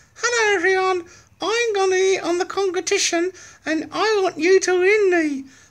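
An extremely high-pitched, put-on character voice speaks with a cheerful tone at a moderate pace. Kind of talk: friendly, addressing an audience. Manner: cute, cheerful, ventriloquist-style.

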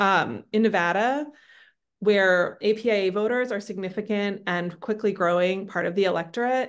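Against a quiet background, a woman talks at a moderate pace. Her pitch varies in an ordinary way. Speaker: regional field director. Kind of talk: online briefing. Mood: engaged, friendly. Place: home room. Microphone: video call.

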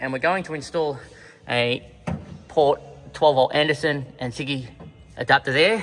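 Behind a man whose pitch varies in an ordinary way, faint music plays. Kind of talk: casual vlog chat. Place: garage.

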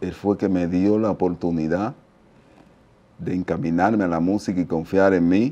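In a Dominican accent, a man with a very deep, low pitch and a dark, mellow tone talks at a moderate pace. His intonation is fairly even, broken by long, frequent pauses. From Dominican Republic, La Romana; Dominican Republic. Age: 50s. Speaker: merengue percussionist; interview guest. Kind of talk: interview testimony. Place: studio. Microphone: lapel.

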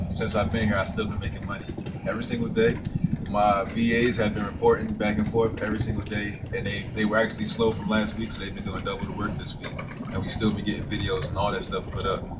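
A man rattles off his words at a very fast pace while loud background noise fills the clip. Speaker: online marketer vlogger. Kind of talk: casual vlog chat. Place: waterside. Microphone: camera far.

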